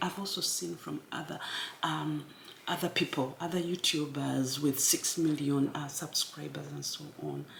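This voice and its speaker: Noticeable background noise is audible throughout. Her speech, a woman's, keeps a moderate pace. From Uganda. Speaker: YouTuber. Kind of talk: motivational talk. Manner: casual.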